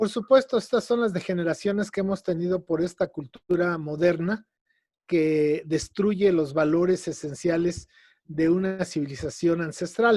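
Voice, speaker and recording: Fairly slow speech in a central Mexican accent with ordinary pitch variation, on a very clean recording with a silent background. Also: man, high pitch for a man. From Mexico City. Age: 60s. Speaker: educator and lecturer on ancient Mexican culture. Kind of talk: radio interview.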